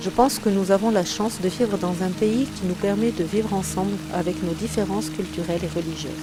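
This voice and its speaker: Music plays behind a woman speaking at a fairly quick pace. She hardly pauses at all. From France. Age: 40s. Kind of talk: testimony. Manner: formal.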